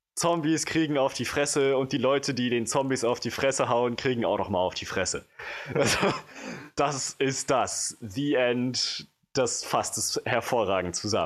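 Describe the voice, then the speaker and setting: Male speech in an ordinary speaking voice, pitched in the middle, with ordinary pitch variation, at a fairly slow pace. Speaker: film podcast co-host. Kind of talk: casual chat. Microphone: new microphone, no longer handheld.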